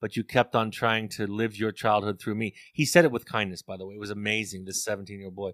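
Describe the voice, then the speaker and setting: Fairly even in intonation, a man is heard in a dry, close sound with no echo on a very clean recording with a silent background. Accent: American. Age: 50s. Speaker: family therapist and author. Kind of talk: interview. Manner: repeats words when thinking.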